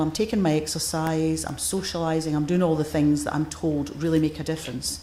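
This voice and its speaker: With a Scottish accent, a woman speaks fairly quickly in a room with audible echo and noticeable background noise. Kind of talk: conference keynote. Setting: stage with audience. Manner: forceful.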